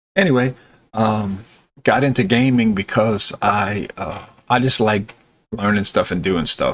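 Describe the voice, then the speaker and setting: Using a plain, everyday voice, a man speaks fairly slowly at a fairly low pitch with fairly even intonation. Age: 60s. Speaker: gamer and YouTuber. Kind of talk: casual update vlog. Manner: relaxed with many fillers.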